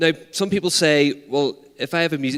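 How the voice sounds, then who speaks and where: The speaker is a man. He talks with a Northern Irish accent. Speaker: arts peacebuilding organiser. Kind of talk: conference talk. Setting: stage with audience. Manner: animated.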